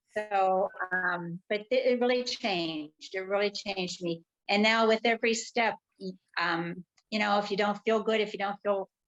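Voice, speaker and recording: An unremarkable speaking voice with fairly even intonation at a moderate pace, in a dry, close sound with no echo. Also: woman, medium pitch for a woman. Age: 60s. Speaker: retired nurse, cancer survivor. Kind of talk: interview on a live video stream. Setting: live video stream.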